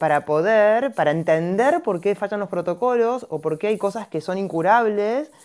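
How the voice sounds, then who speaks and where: With a plain, everyday voice, a woman speaks at a moderate pace and medium pitch, her intonation lively. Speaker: gynecologist and homeopath. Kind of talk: explanatory talk in a live audio chat room. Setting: online audio chat room.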